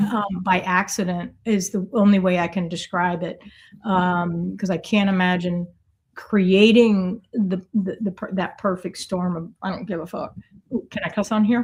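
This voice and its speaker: A woman at medium pitch speaks in a somewhat breathy monotone at a fairly slow pace, on a very clean recording with a silent background. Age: 60s. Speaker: artist and coach. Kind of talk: podcast interview. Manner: halting.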